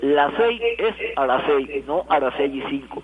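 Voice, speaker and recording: Over noticeable background noise, a man with a fairly high pitch talks with lively intonation. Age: 70s. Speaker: retired radio director. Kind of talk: interview.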